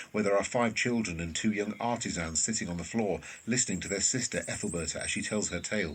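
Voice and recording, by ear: A man with a low pitch speaks at a fast pace in a fairly bright tone. His pitch variation is ordinary.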